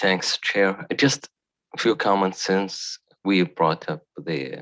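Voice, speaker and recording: In a dry, close sound with no echo, a man with a fairly low pitch speaks at a very slow pace, his intonation lively. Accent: non-native. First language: not English. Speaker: board member. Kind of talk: formal board meeting discussion.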